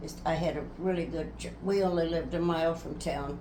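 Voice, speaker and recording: A woman with an American accent speaks at a moderate pace. Audible room echo and noticeable background noise surround her voice. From US Midwest, rural Nebraska. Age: 90s. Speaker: interviewee recounting life story. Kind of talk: family life interview.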